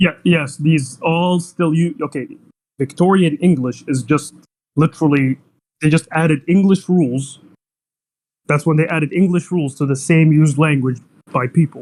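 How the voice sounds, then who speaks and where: With an Arabic accent, a man talks at a fairly high pitch with fairly even intonation and long, frequent pauses. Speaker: debater. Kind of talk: heated debate. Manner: fast, interrupting.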